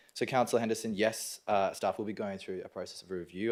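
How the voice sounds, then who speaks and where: Australian accent from a man with a fairly low pitch, on a very clean recording with a silent background. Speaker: local councillor. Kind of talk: council debate.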